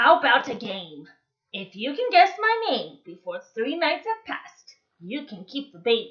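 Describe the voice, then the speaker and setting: This is a put-on character voice full of cackling. Its pitch makes very wide swings. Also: woman, high pitch for a woman, moderate pace. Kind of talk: bedtime story. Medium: read story. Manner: sly, mischievous, cackling.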